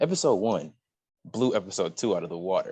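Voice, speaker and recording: A man with a medium-pitched, dark, mellow voice speaks at a fairly quick pace with lively intonation against a quiet background. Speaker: podcast co-host. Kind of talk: casual chat. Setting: college dorm lounge.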